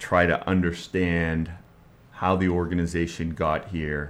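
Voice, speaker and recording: A man speaks very slowly in a very deep, low voice with flat, monotone intonation. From Maine, Bangor area. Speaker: hospital CEO, army veteran. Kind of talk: interview. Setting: studio.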